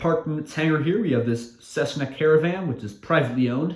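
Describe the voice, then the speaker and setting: Intonation is lively and the pace moderate. The man sounds somewhat breathy. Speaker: model aviation YouTuber. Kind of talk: narrated hobby video update. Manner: stuttering, with fillers; casual, improvised.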